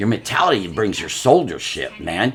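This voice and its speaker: Noticeable background noise sits under a man speaking at a fairly quick pace. His pitch swings very widely. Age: 60s. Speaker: guest sharing life story. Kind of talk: casual chat. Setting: at home. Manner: animated.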